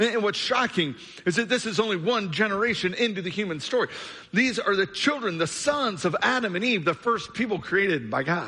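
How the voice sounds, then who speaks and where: Raised and projected, a man's high, bright, sharp voice carries an American accent. He speaks at a fairly quick pace with lively intonation. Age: 40s. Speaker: pastor. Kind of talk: sermon. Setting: church.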